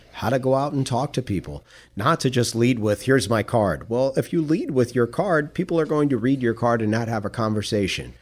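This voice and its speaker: In a plain, everyday voice, a man of medium pitch talks fairly quickly with lively intonation and hardly any pauses. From Queens, New York. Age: 50s. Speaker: media coach, former TV reporter. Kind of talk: interview.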